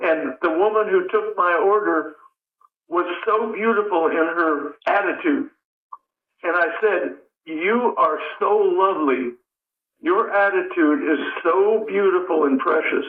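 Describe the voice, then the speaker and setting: At a fairly slow pace, a man with a high pitch uses lively intonation and very even loudness, leaving long, frequent pauses. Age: 80s+. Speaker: poet. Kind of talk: interview.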